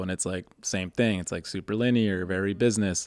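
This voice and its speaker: A man speaks with an American accent in a plain, everyday voice, his intonation fairly even. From Boston. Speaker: podcast host. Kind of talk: casual interview. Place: studio. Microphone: studio mic.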